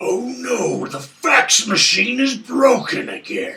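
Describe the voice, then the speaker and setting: A man uses a put-on character voice with an extremely high pitch. It is raspy and moves at a fairly slow pace. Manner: gruff.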